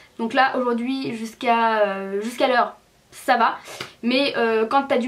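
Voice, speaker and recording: A woman's high-pitched, animated voice over noticeable background noise. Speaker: beauty vlogger. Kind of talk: casual vlog. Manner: fast.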